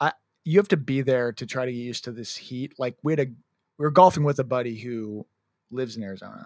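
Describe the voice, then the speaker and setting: A man with a Midwestern American accent, medium pitch, ordinary pitch variation and big swings in loudness at a very fast pace, on a very clean recording with a silent background and a dry, close sound with no echo. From US Midwest. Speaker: sports podcast co-host. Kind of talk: casual chat.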